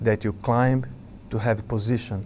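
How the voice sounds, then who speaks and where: Moderate-paced speech in a Brazilian accent, monotone and flat in intonation. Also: man. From Brazil, Sao Paulo. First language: Portuguese. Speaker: monk and spiritual teacher. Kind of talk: spiritual talk to a gathering. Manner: halting, with fillers.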